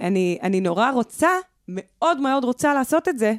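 With an animated tone and lively intonation, a woman speaks at a moderate pace in a dry, close sound with no echo. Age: 30s. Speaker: singer. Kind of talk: casual chat.

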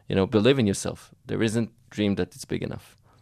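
The recording is very clean, with a silent background. A man speaks with an Israeli accent and fairly even intonation. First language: Hebrew. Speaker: medical investor and entrepreneur. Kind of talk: interview. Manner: halting, many fillers and repetitions.

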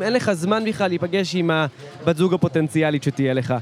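Amid noticeable background noise, a high-pitched man talks at a fairly quick pace with lively intonation. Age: 20s. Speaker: podcast co-host doing street interviews. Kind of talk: casual street interview chat. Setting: outdoors on a city street.

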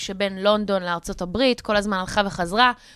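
A woman with a normal speaking voice, fairly high pitch, and ordinary pitch variation, at a fairly quick pace, in a dry, close sound with no echo. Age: 30s. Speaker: radio host. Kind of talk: casual chat. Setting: radio studio.

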